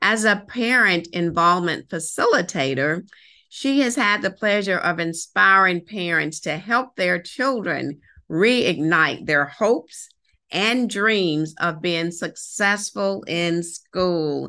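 In a quiet setting, a woman speaks at a very slow pace. Her fairly low voice has a bright, sharp tone. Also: lively intonation. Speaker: podcast host. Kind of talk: interview introduction. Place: home room. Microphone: video call.

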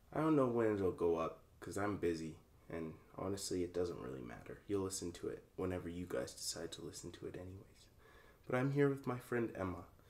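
Speaking at a very fast pace, a man uses a very deep, low pitch and lively intonation. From Calgary, Canada. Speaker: podcast host. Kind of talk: casual chat. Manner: animated. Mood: warm, affectionate.

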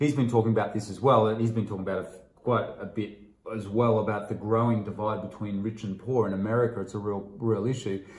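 A very fast, somewhat breathy man with an Australian accent, monotone and flat, in audible room echo. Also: fairly low pitch for a man. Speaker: investing channel host. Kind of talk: casual chat. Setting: at home kitchen table. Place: home room.

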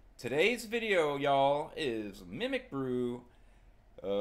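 A man is speaking. His pitch is fairly high. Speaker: YouTube trading card collector. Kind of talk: casual, profane. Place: home room.

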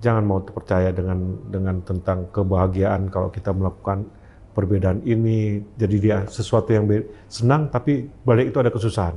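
A man's fairly low, somewhat breathy voice with a dark, mellow tone, moderate pace and ordinary pitch variation. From Aceh, Indonesia. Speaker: army officer; interview guest. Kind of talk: interview. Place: meeting room. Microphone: lapel.

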